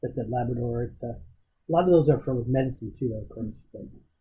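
A man's voice sits at medium pitch and is somewhat breathy. He speaks at a fairly quick pace. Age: 50s. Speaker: podcast host and corporate mentor to interns. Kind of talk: casual chat. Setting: office.

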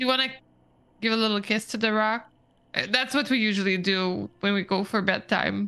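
A woman speaks at a fairly quick pace with a medium pitch and fairly even intonation. Her speech has long, frequent pauses against a quiet background. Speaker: tabletop roleplaying player. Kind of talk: casual banter and roleplay.

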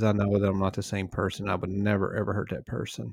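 In a very clean recording with a silent background, a man speaks at a fairly quick pace and a fairly low pitch. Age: 40s. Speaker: marriage podcast co-host and farmer. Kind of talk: casual chat.

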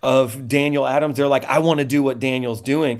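Using an ordinary speaking voice, a man talks at a moderate pace with fairly high pitch and fairly even intonation. The recording is very clean, with a silent background. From Indiana. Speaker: pastor. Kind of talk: panel discussion.

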